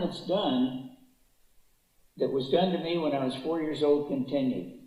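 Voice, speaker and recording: A man with an American accent speaks at a fairly slow pace and a fairly high pitch. Room echo is audible. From US West Coast, Los Angeles. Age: 80s+. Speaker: public speaker, author. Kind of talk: testimony. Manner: hesitant, many fillers.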